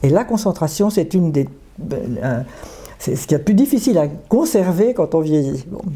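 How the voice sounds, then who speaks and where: Over noticeable background noise, a woman with fairly low pitch speaks at a moderate pace with very wide pitch swings. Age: 80s+. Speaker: psychotherapist, discussion group leader. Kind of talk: interview.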